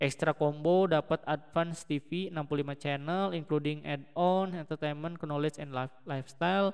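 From a man, an unremarkable speaking voice, fairly high-pitched, its intonation fairly even. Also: moderate pace. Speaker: tech YouTuber. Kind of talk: product review. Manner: casual with many fillers.

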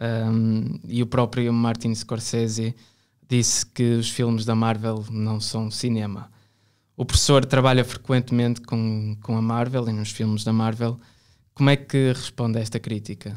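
On a very clean recording with a silent background, a man speaks fairly slowly at medium pitch in a monotone, flat delivery. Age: 20s. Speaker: podcast host and art student. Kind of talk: interview.

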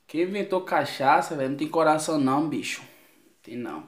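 A man at a moderate pace, with fairly even intonation and audible room echo. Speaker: vlogger. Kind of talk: casual vlog chat. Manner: hungover, groggy complaining voice. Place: home room. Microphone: phone near.

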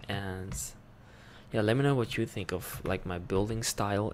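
A soft-spoken voice over light background noise. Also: man. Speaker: ASMR gaming creator. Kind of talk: casual ASMR gameplay commentary. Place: home room. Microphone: studio mic.

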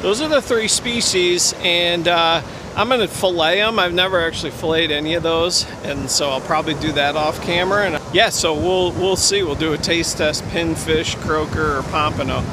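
The sound is dry with no echo, and noticeable background noise sits behind the voice. Pitch varies in an ordinary way at a moderate pace. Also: man, high pitch for a man. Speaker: fishing vlogger. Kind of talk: casual vlog chat. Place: beach. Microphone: phone near.

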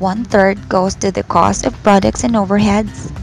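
A woman keeps a moderate pace while music plays behind her. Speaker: voice-over narrator. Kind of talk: corporate narration, business presentation.

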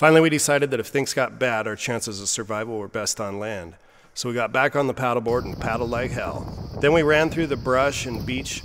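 Talking at a very fast pace, a man keeps ordinary pitch variation. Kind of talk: narration of travel video.

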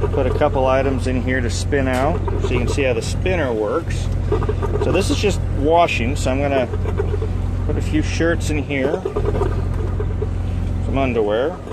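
Moderate pace broken by long, frequent pauses, over loud background noise. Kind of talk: casual tutorial vlog. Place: car. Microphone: phone near.

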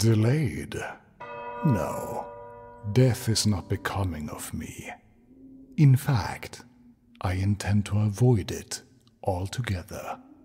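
A man talks at a very slow pace and a fairly low pitch, leaving long, frequent pauses. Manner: cocky, self-assured.

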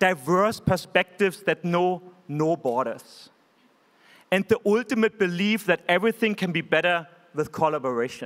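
Against a quiet background, a man with a German accent talks at a moderate pace in a high pitch with ordinary pitch variation. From Germany. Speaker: tech company executive. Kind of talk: keynote speech. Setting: stage with audience. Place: hall. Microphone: podium.

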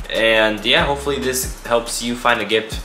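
A man keeps a moderate pace in a space with audible room echo and light background noise. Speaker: vlogger. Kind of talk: casual vlog chat. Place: home room.

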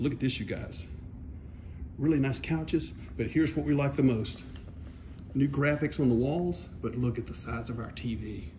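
Vocal fry at a moderate pace, with ordinary pitch variation over light background noise. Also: man. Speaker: vlogger. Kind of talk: casual vlog chat. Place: shop. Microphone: phone near.

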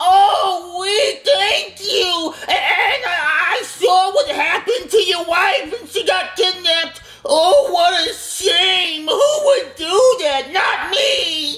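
A woman speaks very slowly in a squeaky, cartoonish character voice, her pitch extremely high and swinging very widely, with light background noise. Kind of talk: comic overacting. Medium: puppet show. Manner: manic, excitable, shouting.

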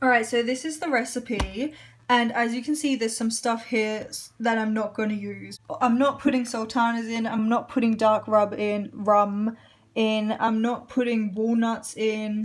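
A woman speaks at a moderate pace with fairly even intonation. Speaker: home cook vlogger. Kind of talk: casual vlog chat. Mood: cheerful, relaxed. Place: kitchen. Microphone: phone near.

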